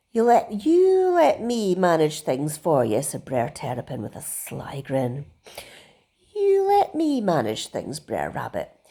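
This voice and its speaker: There is no sound at all behind this very clean recording. A woman talks very slowly. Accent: Scottish. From Scotland. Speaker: artist. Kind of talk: bedtime story reading. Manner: cheery.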